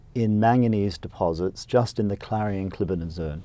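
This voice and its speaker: In a very clean recording with a silent background, a man with an Australian accent speaks at a moderate pace with fairly low pitch, ordinary pitch variation and a dark, mellow tone. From Australia (rural Queensland). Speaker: company CEO and entrepreneur. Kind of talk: interview. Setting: studio.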